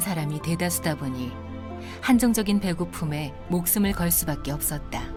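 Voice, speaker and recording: Over music in the background, a woman with a fairly low pitch and a calm tone speaks at a moderate pace with ordinary pitch variation. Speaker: voice actor. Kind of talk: documentary narration. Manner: calm, comfortable.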